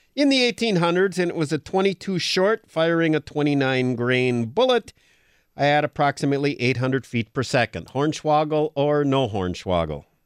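With an American accent and a normal speaking voice, a man talks at a fairly high pitch with lively intonation, his sound dry and close with no echo against a quiet background. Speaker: outdoors radio co-host. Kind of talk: casual radio chat. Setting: radio studio.

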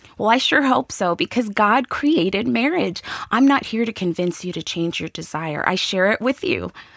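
A woman's medium-pitched voice with vocal fry and very wide pitch swings, at a moderate pace, dry and close with no echo. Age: 40s. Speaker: women's ministry speaker. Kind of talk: devotional teaching.

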